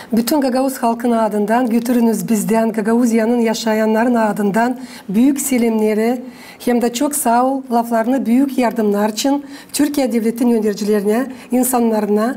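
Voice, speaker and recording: A woman speaks with a fairly high pitch and monotone, flat intonation. Noticeable background noise runs underneath. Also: moderate pace, very even loudness. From Gagauzia, Moldova. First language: Gagauz (speaking Turkish). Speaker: TV host. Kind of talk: interview. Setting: TV studio. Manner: formal.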